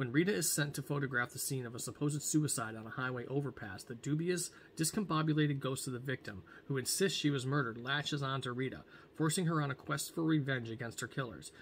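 Over light background noise, a somewhat breathy man speaks at a very fast pace with ordinary pitch variation. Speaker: book vlogger. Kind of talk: reading a book blurb aloud. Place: home room. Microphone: webcam.

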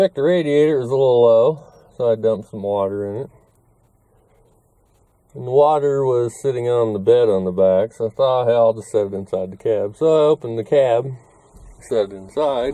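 The voice has a dark, mellow tone and ordinary pitch variation, moving at a fairly quick pace over a quiet background with a dry sound and no echo. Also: man. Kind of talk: casual vlog chat. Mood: mildly annoyed, matter-of-fact. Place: car. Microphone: phone near.

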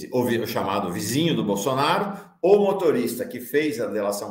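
Audible room echo surrounds this fairly slow delivery. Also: man. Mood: serious explanatory. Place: home room.

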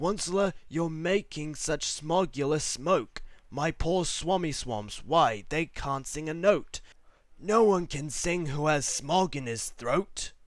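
Using a put-on character voice, a man talks fairly slowly in a croaky, fairly high pitch. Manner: croaky, coughing and snuffling.

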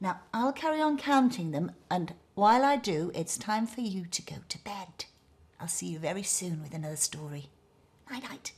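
Here a woman talks at a moderate pace. Her voice is somewhat breathy. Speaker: children's TV storyteller host. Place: kitchen. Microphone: lapel.

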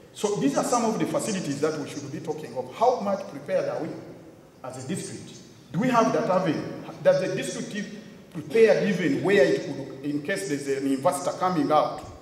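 Through light background noise and audible room echo, a man talks at a moderate pace in a high voice. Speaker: conference speaker. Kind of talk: public address. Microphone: podium.

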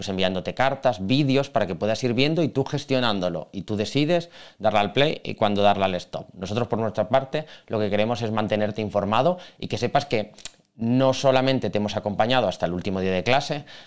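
A man talks fairly quickly with ordinary pitch variation over a quiet background. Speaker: exam prep teacher. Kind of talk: video commentary on exam. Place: office. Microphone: studio mic.

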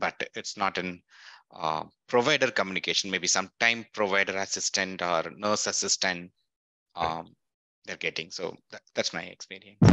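A man talks at a moderate pace in a very deep, low voice with a bright, sharp tone and fairly even intonation. The background is quiet and the sound is dry, with no echo. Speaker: meeting participant. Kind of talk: audience question. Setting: video call. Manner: halting. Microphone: video call.

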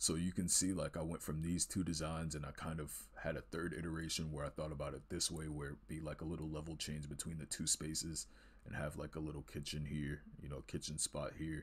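Speaking quietly, a man uses a very deep, low pitch with vocal fry and fairly even intonation. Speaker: art student and video creator. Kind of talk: casual art tutorial walkthrough. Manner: halting, many fillers and repeated words; kept quiet to avoid waking others.

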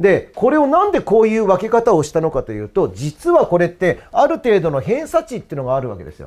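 A man talks at a very fast pace in an animated tone, his pitch swinging very widely. The background is quiet. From Japan. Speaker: cram school history teacher; cram school teacher. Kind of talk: promotional talk about courses. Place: classroom. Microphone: lapel.

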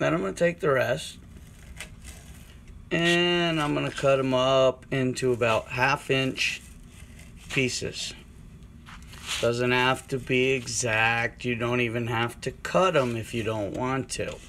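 A bright, sharp tone at a very slow pace, with long, frequent pauses, ordinary pitch variation and light background noise. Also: man. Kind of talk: tutorial. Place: kitchen. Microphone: phone near.

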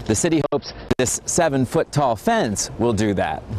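With an American accent, a man talks at a moderate pace. His intonation is lively over light background noise. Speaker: television news reporter. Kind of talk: TV news reporter package and live stand-up. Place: street.

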